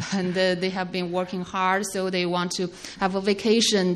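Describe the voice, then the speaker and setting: At a fairly slow pace and medium pitch, a woman speaks with audible room echo around her. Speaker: sermon interpreter. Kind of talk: consecutive interpretation of a sermon. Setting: church. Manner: halting, with many fillers.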